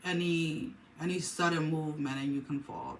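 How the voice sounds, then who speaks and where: A woman with a very deep, low pitch and ordinary pitch variation is heard over audible room echo and noticeable background noise. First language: not English. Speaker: tarot reader. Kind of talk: tarot reading monologue. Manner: hesitant, many fillers and restarts.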